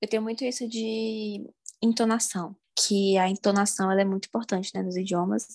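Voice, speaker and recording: A woman speaks in a Brasília accent with a monotone, flat intonation. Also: medium pitch for a woman, moderate pace. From Brasília, Brazil. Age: 20s. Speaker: language learning content creator and student. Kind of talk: casual interview chat.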